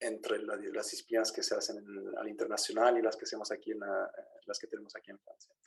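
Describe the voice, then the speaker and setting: Speaking at a very fast pace, a man's voice rises and falls sharply in loudness. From Chile, raised abroad from childhood. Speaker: engineering professor. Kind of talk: academic seminar talk. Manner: halting, many fillers.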